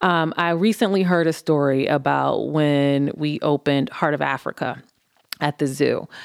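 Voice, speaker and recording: A woman with a Midwestern American accent, very deep and low in pitch, at a moderate pace with ordinary pitch variation and very even loudness. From Cleveland, Ohio. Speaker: executive vice president, former broadcast journalism major. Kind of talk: interview conversation. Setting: studio.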